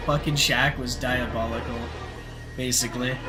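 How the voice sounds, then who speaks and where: Over music in the background, a man talks in an animated tone at a moderate pace, with audible room echo. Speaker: video game streamer. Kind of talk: casual live stream commentary.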